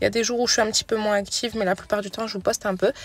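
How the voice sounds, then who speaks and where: A woman with a fairly high voice speaks in a monotone, with flat intonation. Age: 20s. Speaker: mom vlogger. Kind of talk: voice-over narration. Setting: in a car. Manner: soft-spoken.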